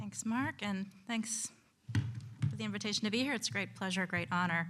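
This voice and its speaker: A woman at medium pitch, with very wide pitch swings and vocal fry. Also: moderate pace. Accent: American. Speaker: conference panelist, historian. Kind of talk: conference talk. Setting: lecture hall with audience. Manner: halting, many fillers.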